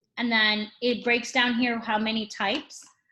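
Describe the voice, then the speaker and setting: Her voice is fairly high for a woman, with a bright, sharp tone. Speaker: behavior analyst supervisor. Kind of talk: training session over video call. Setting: video call. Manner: fast; animated.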